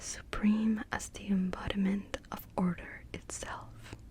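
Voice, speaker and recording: Whispered female speech amid noticeable background noise. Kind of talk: ASMR lore reading. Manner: whispered, soft-spoken.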